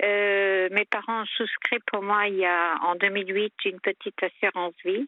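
A woman of medium pitch talks at a very slow pace, her intonation fairly even. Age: 50s. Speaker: caller with personal problems. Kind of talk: personal testimony on a call-in show. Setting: phone call. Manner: halting.

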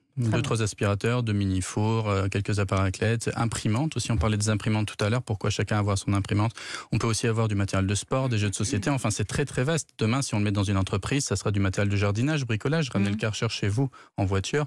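A man speaks very fast at a fairly low pitch, keeping his loudness very even. His pitch varies in an ordinary way against a quiet background. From France, Dordogne (childhood in Burkina Faso). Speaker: entrepreneur, startup founder. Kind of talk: radio interview.

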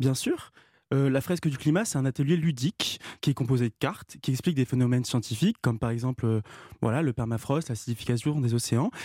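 At a fairly quick pace, a man with a plain, everyday voice speaks at medium pitch with ordinary pitch variation and very even loudness, on a very clean recording with a silent background and a dry, close sound free of echo. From Normandy, France. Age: 40s. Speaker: climate activist. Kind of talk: radio interview.

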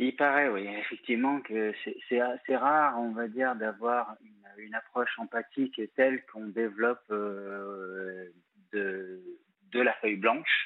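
A man's medium-pitched voice at a very slow pace, with fairly even intonation and big swings in loudness. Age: 40s. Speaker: caller, founder of a support association for battered men. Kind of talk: testimony.

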